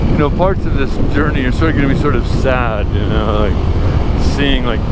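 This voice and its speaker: At a moderate pace and very even loudness, a man speaks over noticeable background noise with audible room echo. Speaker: travel vlogger. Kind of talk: live-stream vlog. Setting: outdoors, riding a motorbike. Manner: halting.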